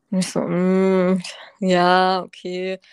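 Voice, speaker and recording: A woman speaks in a very clean recording with a silent background. The sound is dry and close, with no echo. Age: 20s. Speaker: medical student and cancer survivor. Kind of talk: personal testimony in casual interview.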